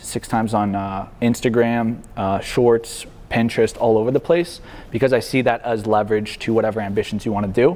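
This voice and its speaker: Using a normal speaking voice, a man talks at a fairly quick pace with medium pitch and fairly even intonation. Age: 20s. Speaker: marketing agency founder. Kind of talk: guest talk to university class. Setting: university classroom. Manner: casual.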